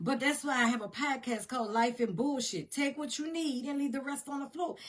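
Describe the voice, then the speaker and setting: A woman speaks high in pitch with an animated tone and a Southern US accent. The background is quiet. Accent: Southern drawl. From US South. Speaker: motivational podcaster. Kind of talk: motivational talk. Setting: home studio. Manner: animated, repetitive.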